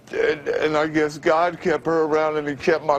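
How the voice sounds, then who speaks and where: Over noticeable background noise, a man talks at a moderate pace with a fairly high pitch and fairly even intonation. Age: 50s. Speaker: formerly homeless radio announcer. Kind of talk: TV interview answer.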